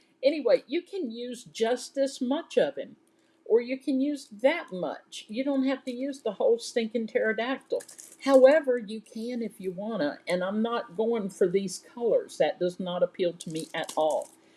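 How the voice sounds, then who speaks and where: A woman with a Southern US accent talks at a moderate pace, her high-pitched voice carrying a dark, mellow tone and lively intonation. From US South. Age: 60s. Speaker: crafting YouTuber. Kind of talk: casual live show-and-tell. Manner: chatty and animated.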